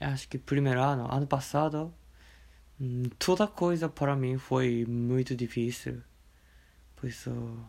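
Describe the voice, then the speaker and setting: In a Japanese accent, a man speaks very slowly at medium pitch with ordinary pitch variation and long, frequent pauses, on a very clean recording with a silent background. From Japan, Okayama. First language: Japanese (speaking Portuguese). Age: 20s. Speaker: teacher. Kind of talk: casual interview. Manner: halting.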